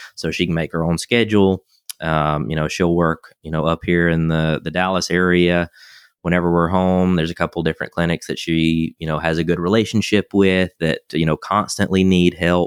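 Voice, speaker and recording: Dry and close with no echo on a very clean recording with a silent background, a man with a Southern US accent speaks in a very deep, low pitch and a flat monotone. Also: moderate pace. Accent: Southern American. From US South, South Carolina near Augusta. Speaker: veterinarian and animal chiropractor. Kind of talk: interview. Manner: halting, many fillers.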